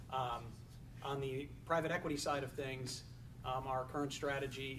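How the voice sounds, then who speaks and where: Speaking at a fairly quick pace, a man with a medium pitch delivers his words in a flat monotone, with audible room echo around him. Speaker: family office executive. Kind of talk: panel discussion.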